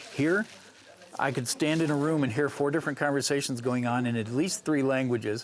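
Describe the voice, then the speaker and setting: The man speaks at a medium pitch, with ordinary pitch variation. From US South. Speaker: fan and book reviewer. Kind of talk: panel discussion. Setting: convention.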